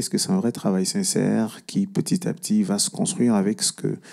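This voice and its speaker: At a fairly quick pace, a man with a high-pitched voice and a dark, mellow tone swings his pitch very widely while keeping his loudness very even, on a very clean recording with a silent background. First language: Cameroonian language (mother tongue) (speaking French). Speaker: singer-songwriter. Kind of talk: panel discussion.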